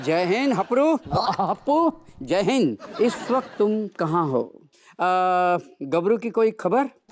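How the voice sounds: In a put-on character voice, a man talks slowly at a high pitch with big pitch swings.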